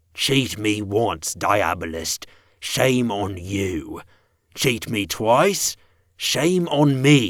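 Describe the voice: Growling and gravelly, the put-on character voice crawls along at a very slow pace. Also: man, fairly low pitch for a man.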